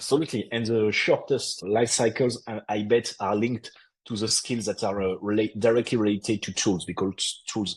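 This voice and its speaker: A man in a French accent, fairly low in pitch, with fairly even intonation and a moderate pace. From France. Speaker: podcast co-host on HR and tech. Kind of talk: casual explanatory discussion. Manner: halting, with frequent repetitions.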